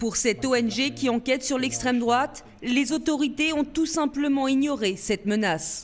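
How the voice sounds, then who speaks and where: The woman's voice is high-pitched. Her intonation moves in a lively way. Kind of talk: news reading. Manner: formal, measured; steady, neutral delivery.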